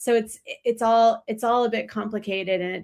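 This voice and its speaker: An ordinary speaking voice from a woman with an American accent, moving at a fairly quick pace with fairly even intonation. The recording is very clean, with a silent background. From United States. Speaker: journalist. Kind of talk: panel discussion. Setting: live stream.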